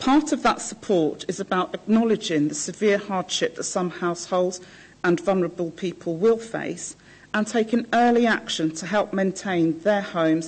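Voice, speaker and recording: A woman speaks at a moderate pace, somewhat breathy. Her pitch shows ordinary variation. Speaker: council housing officer; council officer presenting report. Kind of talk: presenting a report. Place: meeting room. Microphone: podium.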